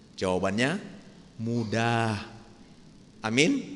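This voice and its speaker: A man talks with a Medan accent, and the room echo is audible. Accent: Sumatran (Medan) accent, still present. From North Sumatra, Medan. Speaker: pastor. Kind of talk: sermon. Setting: church.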